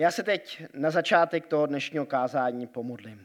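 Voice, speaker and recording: Recorded very cleanly against a silent background, a man talks at a fairly slow pace. He has an ordinary speaking voice and lively intonation. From Switzerland (Grindelwald). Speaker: pastor. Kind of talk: sermon. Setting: church.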